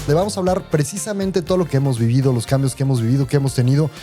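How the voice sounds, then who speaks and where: With music in the background, a man with a fairly high voice talks at a very fast pace with ordinary pitch variation. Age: 50s. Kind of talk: casual podcast conversation.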